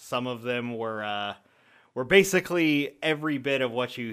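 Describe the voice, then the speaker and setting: With an American accent, a man talks at medium pitch and a moderate pace in an unremarkable speaking voice with ordinary pitch variation. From US South. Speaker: voice actor. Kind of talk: casual interview.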